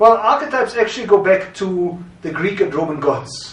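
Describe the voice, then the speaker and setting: A high-pitched man with a German accent, moderate pace, ordinary pitch variation, and noticeable background noise. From Germany, Berlin. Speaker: branding consultant and historian. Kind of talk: course introduction.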